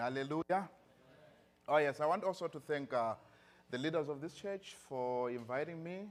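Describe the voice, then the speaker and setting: A man speaks with a Zimbabwean accent. His intonation is lively. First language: Shona. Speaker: pastor. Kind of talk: sermon. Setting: church. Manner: animated.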